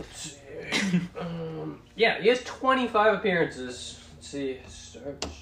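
In a put-on character voice pitched high for a man, he mumbles at a very slow pace. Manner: mumbling to himself.

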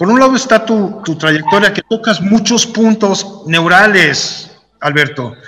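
A man with a Mexican accent projects his high-pitched voice at a fairly slow pace with ordinary pitch variation. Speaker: podcast host and cartoonist. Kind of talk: casual interview chat.

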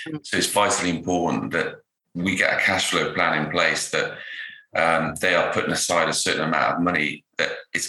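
Over audible room echo, a man with a very deep, low pitch and a bright, sharp tone talks at a fairly quick pace with fairly even intonation. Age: 50s. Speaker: financial planner. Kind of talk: interview.

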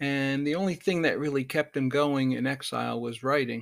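A plain, everyday voice from a man, moderate in pace with fairly even intonation. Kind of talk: poet reading. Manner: measured, contemplative.

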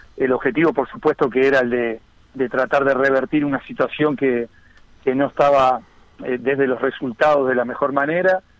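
A man with a Uruguayan accent, his loudness very even. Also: medium pitch for a man, ordinary pitch variation, moderate pace. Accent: Rioplatense Spanish (Uruguayan). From Uruguay, Las Piedras (Canelones). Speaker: football coach. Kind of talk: radio interview. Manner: halting, repeats words.

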